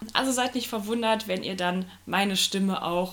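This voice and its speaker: With an unremarkable speaking voice, a woman talks at a moderate pace, her pitch medium and its variation ordinary. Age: 20s. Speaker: new podcast co-host, geography student. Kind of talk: casual podcast self-introduction.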